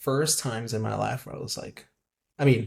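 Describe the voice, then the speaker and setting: A man's medium-pitched voice with vocal fry, fairly even intonation and a moderate pace. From Mexico. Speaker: coffee professional. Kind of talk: casual interview conversation.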